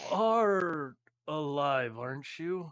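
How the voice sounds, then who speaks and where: A man puts on a character voice. It sits at a fairly high pitch. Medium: actual play. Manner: formal, earnest.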